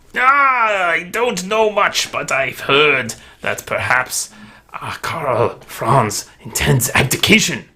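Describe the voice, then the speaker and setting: In a put-on character voice, a man speaks very slowly at a high pitch with very wide pitch swings. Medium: actual play. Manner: deferential, ingratiating.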